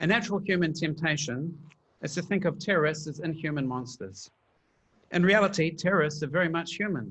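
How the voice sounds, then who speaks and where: A man with a New Zealand accent, fairly high-pitched, at a moderate pace with ordinary pitch variation. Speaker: PhD candidate, panelist. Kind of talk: prepared panel talk.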